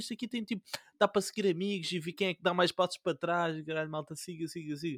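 On a very clean recording with a silent background, a man talks at a very fast pace, the sound dry and close with no echo. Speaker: podcast co-host. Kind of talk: casual chat. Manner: animated.

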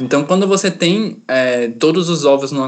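A man's fairly high pitch at a fairly slow pace, a plain, everyday voice. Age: 20s. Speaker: energy engineering student. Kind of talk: explanatory interview.

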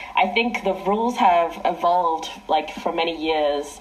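Noticeable background noise and audible room echo fill this recording. A woman talks at a fairly slow pace with a fairly low pitch and ordinary variation. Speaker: ultimate frisbee team captain. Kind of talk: interview. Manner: loud.

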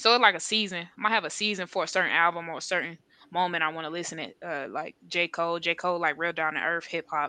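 A woman with an American accent speaks very fast in a fairly low voice and a fairly even intonation against a quiet background. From North Carolina and Southern California. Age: 20s. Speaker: rapper. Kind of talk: interview.

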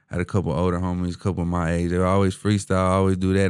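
A very deep, low male voice in a Houston accent, very fast and monotone with flat intonation. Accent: Houston Texas urban. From Houston, Texas (east side, Denver Harbor). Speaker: rapper. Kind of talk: casual chat. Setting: studio.

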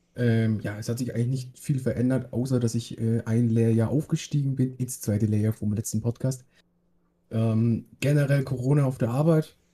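A man's somewhat breathy voice with a dark, mellow tone, medium in pitch, with fairly even intonation. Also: moderate pace. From Bavaria, Germany. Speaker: podcast co-host, apprentice. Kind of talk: casual chat.

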